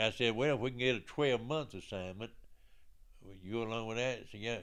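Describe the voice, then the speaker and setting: A fairly quick pace in an Alabama accent, with ordinary pitch variation. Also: man. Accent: Southern US (Alabama). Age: 80s+. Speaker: military veteran. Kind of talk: life story interview. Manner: halting.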